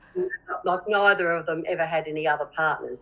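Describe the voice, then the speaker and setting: A woman speaks at a fairly quick pace in a very deep, low pitch. Her intonation is fairly even, with noticeable background noise. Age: 60s. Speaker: interviewee. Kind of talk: street interview. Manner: halting.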